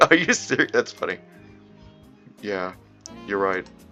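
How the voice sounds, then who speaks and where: Music playing behind a male voice that swings very widely in pitch. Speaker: visual novel reader. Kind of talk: read story with character voices. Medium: read story.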